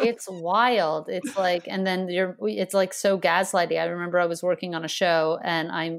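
A woman with an unremarkable speaking voice talks at a moderate pace, with a fairly low pitch and ordinary pitch variation. The recording is very clean with a silent background. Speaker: comedian. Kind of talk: casual chat.

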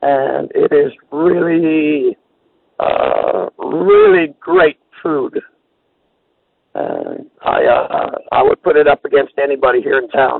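The man talks at a very slow pace, leaving long, frequent pauses. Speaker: caller. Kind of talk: phone call.

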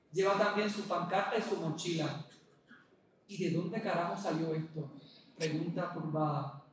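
Speaking at a fairly slow pace with long, frequent pauses, a man uses a high pitch and fairly even intonation, with audible room echo and noticeable background noise around him. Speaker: writer. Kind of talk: reading aloud. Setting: stage with audience.

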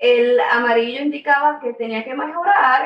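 A woman talks at a fairly slow pace in a high pitch. Her intonation is lively. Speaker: elementary school teacher. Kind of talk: interview.

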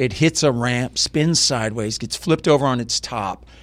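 Speaking with an American accent, a man keeps a moderate pace at medium pitch with ordinary pitch variation. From US South, Lafayette, Louisiana. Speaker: film director and professor. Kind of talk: casual interview. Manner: animated.

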